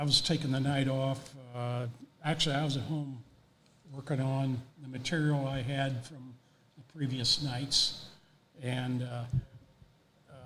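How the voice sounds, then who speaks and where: In a room with audible echo, a man with an American accent talks at a fairly slow pace and a fairly high pitch. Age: 70s. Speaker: racing photographer. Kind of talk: interview. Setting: on-site at hall of fame. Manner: halting, many fillers.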